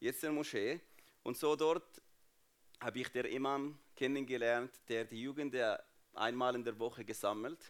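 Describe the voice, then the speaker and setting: In a very clean recording with a silent background, a man with an Arabic accent speaks at a medium pitch. His pace is moderate and his intonation fairly even, with long, frequent pauses. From Jordan (Palestinian refugee family). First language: Arabic (speaking German). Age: 30s. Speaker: guest speaker at church. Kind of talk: testimony.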